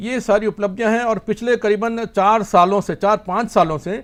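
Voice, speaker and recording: His voice is high for a man, with ordinary pitch variation. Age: 60s. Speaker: martial arts grand master. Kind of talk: interview. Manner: halting, with fillers.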